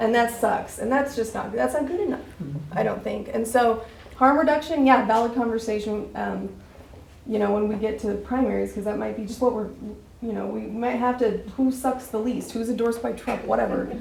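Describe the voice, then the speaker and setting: A woman speaks at a fairly quick pace. Audible room echo is present. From Wyoming, Laramie County area. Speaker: party member at meeting, recovery worker. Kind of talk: meeting discussion. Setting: meeting room. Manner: animated.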